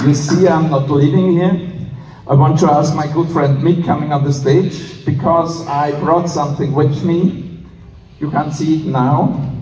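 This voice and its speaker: Fairly slow, monotone, flat speech from a man with fairly high pitch, amid audible room echo and noticeable background noise. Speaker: president of international police association. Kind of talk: conference speech. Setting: stage with audience. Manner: halting.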